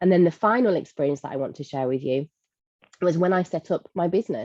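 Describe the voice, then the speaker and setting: A woman speaks very fast in a Lancashire accent, fairly low in pitch with lively intonation and a dark, mellow tone. The sound is dry and close, with no echo. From northern England, Blackpool. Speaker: leadership coach and speaker. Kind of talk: webinar talk.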